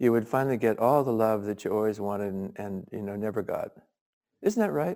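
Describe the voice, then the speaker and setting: Ordinary pitch variation shapes the dark, mellow tone of this man's speech. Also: very clean recording, silent background. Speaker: Zen teacher. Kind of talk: dharma talk. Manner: halting.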